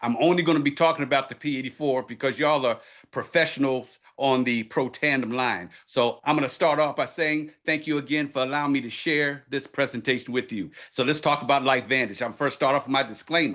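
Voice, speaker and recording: Against a quiet background, a man is talking. His fairly high voice moves at a fairly quick pace. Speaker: doctor of ministry, health presenter. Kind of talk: sales presentation. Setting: video call. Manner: fast; energetic.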